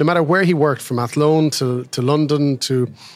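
A man speaks at a moderate pace. His pitch sits fairly high, with ordinary variation.

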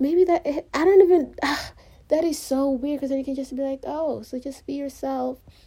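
A woman talks with a high-pitched voice. Her pace is moderate. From Africa. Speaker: solo podcaster. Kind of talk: personal monologue. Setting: recorded on phone, no microphone. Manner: rambling; halting.

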